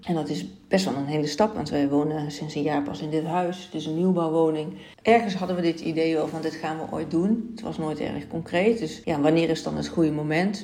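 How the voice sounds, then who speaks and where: A woman's very deep, low-pitched voice at a fairly quick pace, with ordinary pitch variation, audible room echo, and noticeable background noise. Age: 40s. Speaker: podcast host and life coach. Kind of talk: solo podcast monologue.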